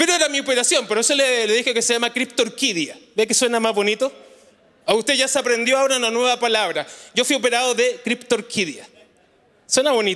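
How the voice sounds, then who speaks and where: At a fairly quick pace, a man with an extremely high pitch speaks in a raised, projected voice with an animated tone and bright, sharp tone, his pitch variation ordinary and his loudness very even. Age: 40s. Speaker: pastor. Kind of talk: sermon. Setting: church. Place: church. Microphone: handheld.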